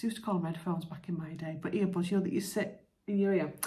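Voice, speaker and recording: A soft-spoken woman talks in a dark, mellow, somewhat breathy tone with fairly even intonation. Audible room echo is present. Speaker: lifestyle vlogger. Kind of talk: casual vlog chat.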